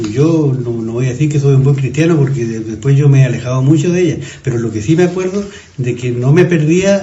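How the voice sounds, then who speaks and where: Over noticeable background noise and audible room echo, a man speaks fairly quickly. His pitch is fairly high, with ordinary variation. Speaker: neighbourhood resident, former industrialist. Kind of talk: casual reminiscing interview. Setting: café. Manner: halting, repeats words.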